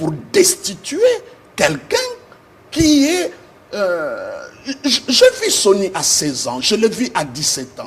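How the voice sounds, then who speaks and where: A man at a very slow pace, with long, frequent pauses and noticeable background noise. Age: 60s. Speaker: pastor. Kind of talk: TV interview. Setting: TV studio. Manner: halting, many hesitations.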